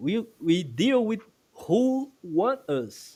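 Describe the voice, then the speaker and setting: A man with a Brazilian Portuguese accent speaks with very wide pitch swings. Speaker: guest commentator. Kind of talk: casual chat. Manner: halting.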